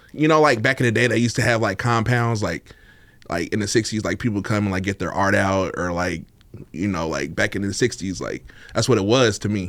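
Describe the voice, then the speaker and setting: A man at a fairly quick pace and fairly low pitch. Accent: American. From East Oakland, California. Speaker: podcast guest, party scene figure. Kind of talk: casual interview chat. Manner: laid-back, casual.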